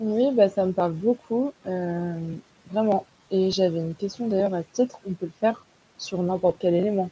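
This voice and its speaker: A woman speaks at a medium pitch in a dark, mellow, somewhat breathy tone. The sound is dry and close, with no echo. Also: ordinary pitch variation, moderate pace. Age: 20s. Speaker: podcast listener. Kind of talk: casual chat.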